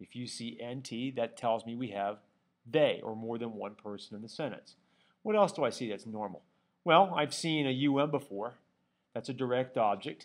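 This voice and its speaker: Over a silent background in a very clean recording, a man talks with a normal speaking voice at medium pitch. He keeps a moderate pace with ordinary pitch variation and big swings in loudness. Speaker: Latin teacher. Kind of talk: tutorial.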